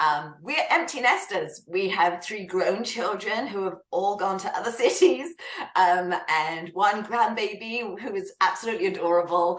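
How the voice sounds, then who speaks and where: A woman with a British accent talks at a medium pitch and a moderate pace, with ordinary pitch variation. Noticeable background noise and audible room echo are present. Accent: British accent, kept. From UK. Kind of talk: interview.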